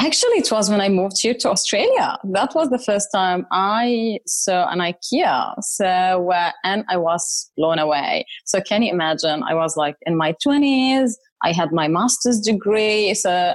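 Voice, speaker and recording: A woman with an Arabic accent speaks in a medium pitch at a moderate pace, with hardly any pauses. Her intonation is lively, her loudness very even, and the recording very clean with a silent background. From Saudi Arabia and Syria. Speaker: corporate services leader. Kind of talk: interview.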